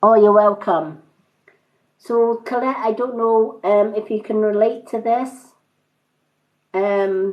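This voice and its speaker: A woman in a Scottish accent speaks at a fairly high pitch and a very slow pace. Her intonation stays fairly even, broken by long, frequent pauses. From Scotland. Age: 50s. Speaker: tarot card reader. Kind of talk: livestream card reading. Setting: livestream. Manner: hesitant, many fillers.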